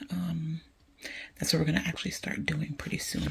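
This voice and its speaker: Someone whispers over noticeable background noise. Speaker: home lifestyle vlogger. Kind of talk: casual vlog. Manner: whispering.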